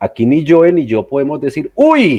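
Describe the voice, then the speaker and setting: Recorded with a dry, close sound with no echo, a man speaks in a dark, mellow tone. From southwestern Colombia. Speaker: podcast co-host, pagan practitioner. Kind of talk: casual podcast discussion.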